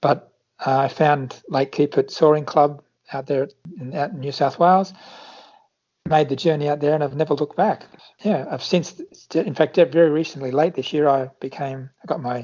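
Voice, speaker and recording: Talking in an Australian accent, a man has a fairly high pitch. He keeps a moderate pace with ordinary pitch variation. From Australia, Sydney area. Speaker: flight instructor. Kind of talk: interview.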